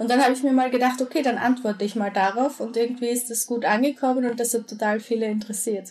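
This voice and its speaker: High-pitched female speech at a very fast pace, with fairly even intonation. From Austria. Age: 20s. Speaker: social media creator. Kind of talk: interview.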